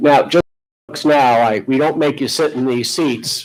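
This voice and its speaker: This man's intonation is fairly even, and the recording is very clean, with a silent background. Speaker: judge. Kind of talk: jury selection questioning. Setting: courtroom. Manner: loud.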